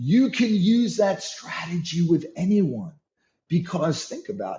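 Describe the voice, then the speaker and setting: A man with a New York accent speaks in a high voice. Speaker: leadership and sales coach. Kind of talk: interview.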